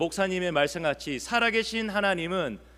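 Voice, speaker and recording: In a raised, projected voice with a bright, sharp tone, a man speaks at a fairly slow pace with ordinary pitch variation, on a very clean recording with a silent background. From Busan, South Korea. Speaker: pastor. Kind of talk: sermon. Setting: church.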